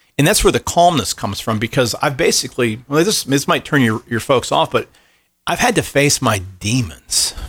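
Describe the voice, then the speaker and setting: In an ordinary speaking voice, a man talks at a moderate pace, his pitch fairly high for a man and his intonation lively. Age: 40s. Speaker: seminary professor. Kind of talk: casual chat.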